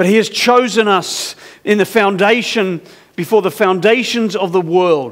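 Male speech at a moderate pace, quiet background behind it. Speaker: preacher. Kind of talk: sermon. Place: church. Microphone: headset.

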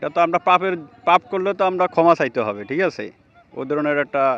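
A man talks, his pitch varying in an ordinary way. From Bangladesh, Noakhali. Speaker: passer-by, sales manager. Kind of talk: street interview quiz. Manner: halting.

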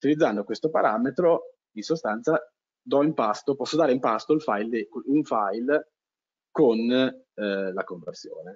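Against a quiet background, a man talks. His pace is fairly slow. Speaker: GIS webinar presenter; webinar presenter. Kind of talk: webinar lecture. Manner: halting, many fillers and repetitions. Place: home room. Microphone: headset.

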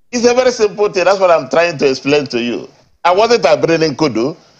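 Against a quiet background, a man with a Nigerian accent talks with lively intonation. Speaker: party politician. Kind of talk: heated debate. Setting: remote live link. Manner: loud. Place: studio.

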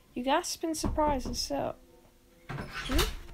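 A woman talks in a playful tone at a very slow pace, with light background noise behind her. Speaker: YouTuber reading a story. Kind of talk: scripted story reading, bedtime-style creepypasta narration. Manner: soft, gentle, storyteller pacing; second-person narration with a playful, building suspense. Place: home room.

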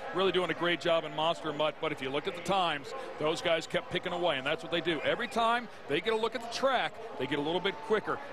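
Amid noticeable background noise, a man speaks at a very fast pace and high pitch in a dry sound with no echo. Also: ordinary pitch variation. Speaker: color commentator. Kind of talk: live TV sports color commentary; sports commentary. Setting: broadcast booth in a stadium. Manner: explanatory, technical. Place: stadium. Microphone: headset.

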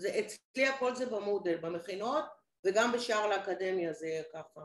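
Lively intonation marks this woman's moderately paced speech, which carries audible room echo. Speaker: lecturer. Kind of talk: questions in online training. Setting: video call. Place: home room. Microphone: video call.

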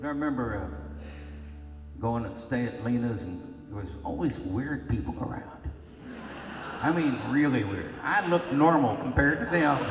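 At a moderate pace, the voice swings widely in loudness over faint background music. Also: man. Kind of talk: storytelling between songs. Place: stage. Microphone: camera far.

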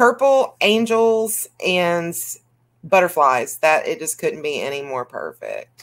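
With a Southern US accent, the speaker goes at a very slow pace while loudness swings widely. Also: woman. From US South. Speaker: YouTube coloring channel host. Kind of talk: casual chat. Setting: video call. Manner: animated.

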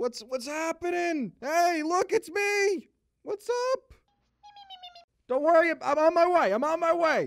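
A man puts on a cartoonish character voice at an extremely high pitch. He talks at a fairly slow pace, with long, frequent pauses. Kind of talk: comedy cartoon dialogue.

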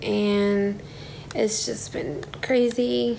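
A woman speaks with an American accent. There is light background noise. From US South, southern Alabama. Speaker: vlogger. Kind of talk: casual vlog talk to camera. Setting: hotel room. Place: home room. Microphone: phone near.

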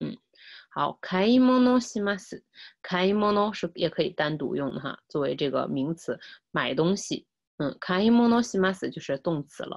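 Against a quiet background, a woman speaks fairly slowly at a medium pitch, her pitch swinging very widely. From China. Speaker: Japanese language teacher. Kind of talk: lecture. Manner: repetitive, with many filler sounds. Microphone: webcam.

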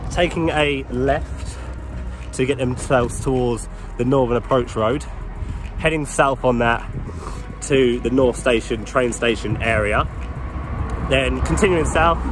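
A man speaking at a fairly slow pace with long, frequent pauses and very even loudness, in a dry recording with no echo but noticeable background noise. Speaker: cycling vlogger. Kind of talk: casual vlog chat. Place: bicycle. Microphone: phone near.

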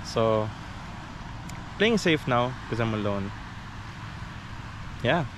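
A man talks at a medium pitch and a very slow pace. His voice makes big pitch swings.

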